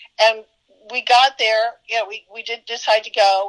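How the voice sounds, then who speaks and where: Pitched fairly high, a woman talks in an ordinary speaking voice at a moderate pace with fairly even intonation, the sound dry and close with no echo. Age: 60s. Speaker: psychic treasure hunter. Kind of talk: interview storytelling. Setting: online video call.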